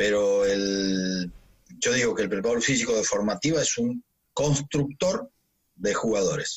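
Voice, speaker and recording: A man speaks in a plain, everyday voice at a medium pitch with ordinary pitch variation. His pace is fairly slow and his loudness very even. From Argentina. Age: 50s. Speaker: physical trainer. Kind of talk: interview.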